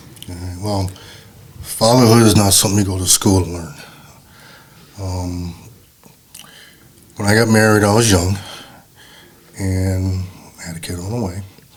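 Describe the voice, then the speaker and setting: A man speaks at a very deep, low pitch in a monotone, flat delivery with long, frequent pauses. Audible room echo and noticeable background noise fill the recording. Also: moderate pace, big swings in loudness. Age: 60s. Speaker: father of the host. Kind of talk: casual conversation.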